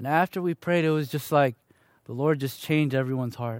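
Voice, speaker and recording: On a very clean recording with a silent background, a man with an American accent has a plain, everyday voice, a fairly high pitch and fairly even intonation. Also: dry, close sound with no echo. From US Midwest, Chicago. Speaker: church member giving testimony. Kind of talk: testimony. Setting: church meeting with audience.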